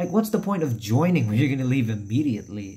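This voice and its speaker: A man's somewhat breathy voice with a dark, mellow tone and very wide swings in pitch. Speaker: YouTuber. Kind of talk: casual announcement vlog. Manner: quiet. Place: home room. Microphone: phone near.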